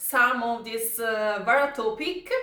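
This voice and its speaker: A woman with an Italian accent speaks at a very slow pace in a raised, projected voice with lively intonation. Audible room echo surrounds her. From Italy. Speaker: YouTuber commenting on viral news. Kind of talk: casual commentary reading from notes. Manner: halting, with fillers.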